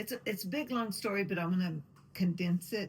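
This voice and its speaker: The woman's voice is somewhat breathy. Its pitch is medium, with ordinary variation. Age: 60s. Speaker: long-distance hiker. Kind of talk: interview testimony.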